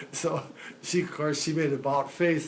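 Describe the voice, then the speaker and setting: A man talks with an American accent at a fairly high pitch. Audible room echo surrounds his voice. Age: 90s. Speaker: centenarian telling life story. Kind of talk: life story interview. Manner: halting.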